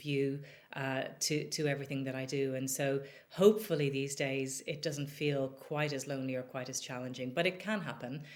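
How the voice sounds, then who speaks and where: With an Irish accent, a woman speaks at a moderate pace in a very deep, low pitch, her intonation fairly even. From Ireland, Dublin. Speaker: business executive. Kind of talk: podcast interview.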